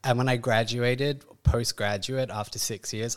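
A man with an Australian accent on a very clean recording, silent background. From Perth, Western Australia. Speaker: classical dancer. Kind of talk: casual interview. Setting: in person with host, studio.

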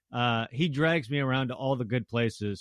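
With an American accent and a normal speaking voice, a man talks at a moderate pace, his pitch medium and its variation ordinary. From Tacoma, Washington, US. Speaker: baseball broadcaster. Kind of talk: interview.

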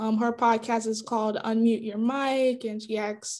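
The speaker has a normal speaking voice. It moves at a fairly slow pace. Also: woman. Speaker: podcast host. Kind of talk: casual chat. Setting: video call.

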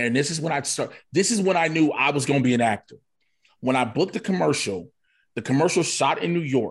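A man talks very fast with fairly high pitch and lively intonation, sounding somewhat breathy. The background is quiet. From Chicago. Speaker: comedian and wrestler. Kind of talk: casual interview chat.

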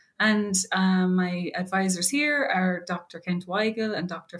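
This woman's voice comes across as somewhat breathy. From Ireland. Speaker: PhD student researcher in animal genetics. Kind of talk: podcast interview.

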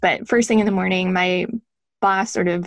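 This woman's voice sits at a medium pitch and moves at a moderate pace. Her intonation stays monotone and flat. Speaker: former intelligence officer and author. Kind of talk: interview about her book.

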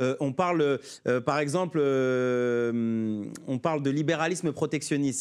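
This man's pitch is fairly high, with ordinary variation. The recording is very clean, the background silent. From France, Paris suburbs (Sarcelles). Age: 30s. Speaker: trade unionist and presidential candidate. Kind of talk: political interview. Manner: halting, many repetitions and fillers.

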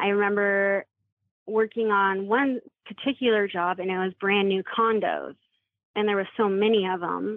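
Here is a normal speaking voice in an American accent. It keeps a moderate pace with fairly even intonation. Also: woman, medium pitch for a woman. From Washington State. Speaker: abuse survivor. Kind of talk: testimony.

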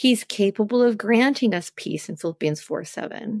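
A woman speaks at a moderate pace in a normal speaking voice with lively intonation. The sound is dry and close with no echo, on a very clean recording with a silent background. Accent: American. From US West Coast, Los Angeles. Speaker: therapist and professor. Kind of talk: interview.

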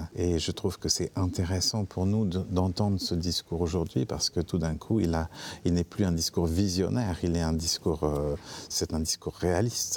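Very deep and low in pitch, a man talks at a moderate pace with fairly even intonation and very even loudness on a very clean recording with a silent background. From France. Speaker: theatre director. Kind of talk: interview. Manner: halting, many hesitations.

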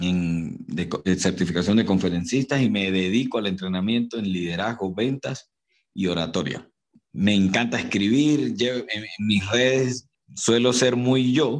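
A man speaks fairly slowly with a Venezuelan accent. His pitch is fairly low, with ordinary variation. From Venezuela, Barinas. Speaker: motivational speaker. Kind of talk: interview. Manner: animated.

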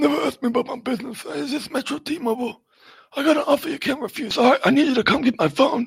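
A man puts on a character voice at an extremely high pitch. He rattles along at a very fast pace. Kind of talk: movie gangster parody.

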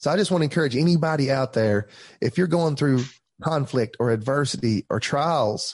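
Talking at a fairly quick pace with an Appalachian accent, a man sounds somewhat breathy, with ordinary pitch variation and a quiet background. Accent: Southern US (Appalachian). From Tellico Plains, East Tennessee, US. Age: 30s. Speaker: pastor. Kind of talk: casual interview, testimony.

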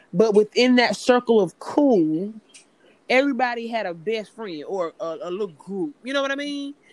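Her voice is a plain, everyday voice, as a woman talks at a moderate pace with lively intonation and big swings in loudness. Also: fairly high pitch for a woman. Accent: American. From US South, Greenville, South Carolina. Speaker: entrepreneur and aspiring actress. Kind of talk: casual chat.

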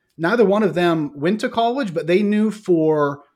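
A man with an American accent, moderate pace and lively intonation, in a very clean recording with a silent background. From US Midwest, northeastern Ohio. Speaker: corporate training executive. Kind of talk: casual interview.

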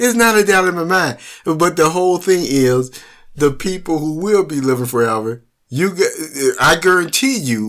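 At a moderate pace, a man speaks with a fairly high pitch, lively intonation and a fairly bright tone.

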